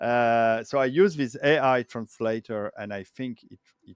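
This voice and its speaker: A man with a French accent speaks at a very slow pace and medium pitch, with ordinary pitch variation, in a dry, close sound with no echo. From France. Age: 50s. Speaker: retro game hardware project manager. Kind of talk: casual interview. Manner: halting, many fillers.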